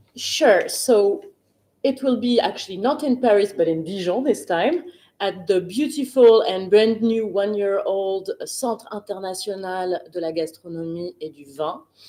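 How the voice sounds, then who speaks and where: A woman with a French accent, dark and mellow in tone at medium pitch, fairly slow, with lively intonation and big swings in loudness. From France. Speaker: wine expert. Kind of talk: live Q&A interview. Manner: hesitant, many fillers.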